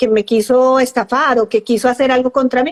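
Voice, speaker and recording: A woman with a high pitch speaks at a moderate pace with fairly even intonation, the sound dry and close with no echo. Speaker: psychologist. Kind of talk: interview on live stream.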